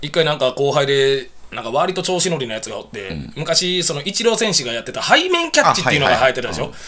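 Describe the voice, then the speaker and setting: A man speaks very fast at a fairly high pitch, his intonation lively and with hardly any pauses. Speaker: comedian (mid-career). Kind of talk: casual radio banter. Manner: lively, bantering.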